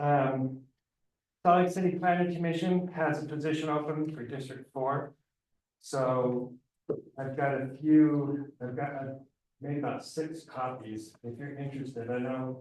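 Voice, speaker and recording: Audible room echo surrounds a man speaking at a fairly slow pace with a medium pitch and fairly even intonation. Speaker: city liaison giving community updates. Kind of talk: public meeting updates. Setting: neighborhood council meeting.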